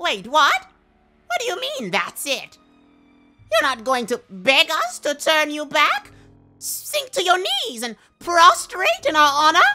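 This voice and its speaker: A put-on character voice, female-sounding and extremely high in pitch, at a fairly slow pace with long, frequent pauses and faint music in the background. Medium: audio drama. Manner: grand, theatrical.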